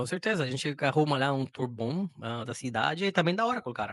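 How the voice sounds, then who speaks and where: Speaking at a fairly quick pace, a man talks in a Spanish accent. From Costa Rica. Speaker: software product manager. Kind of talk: podcast interview. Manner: halting, many repetitions.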